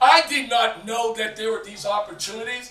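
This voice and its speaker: A man's extremely high, raised and projected voice with an American accent, animated in tone at a moderate pace, amid audible room echo and noticeable background noise. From Boston. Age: 60s. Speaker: community leader and youth mentor. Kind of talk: on-stage interview.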